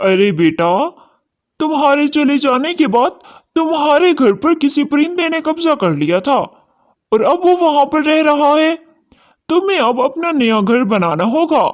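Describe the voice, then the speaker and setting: A cartoonish character voice, high-pitched, at a moderate pace. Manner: warm, fatherly.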